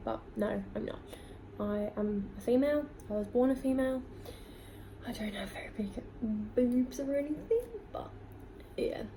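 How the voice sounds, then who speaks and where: A woman talks with clear background noise and audible echo from the room. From UK, England and Scotland (army family). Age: 20s. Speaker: beauty vlogger. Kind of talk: casual Q&A vlog.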